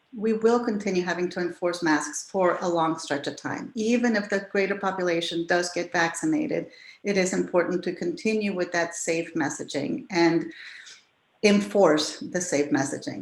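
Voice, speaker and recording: A woman with an unremarkable speaking voice, fairly low pitch, lively intonation and a moderate pace. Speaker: tourism office director. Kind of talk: presentation talk.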